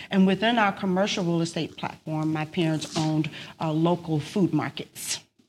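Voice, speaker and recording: The speaker has a Louisiana accent and a moderate pace. Intonation is fairly even. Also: woman, fairly low pitch for a woman. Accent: Louisiana Southern US. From South Louisiana, Lake Charles. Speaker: accountant and business owner. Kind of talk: interview conversation.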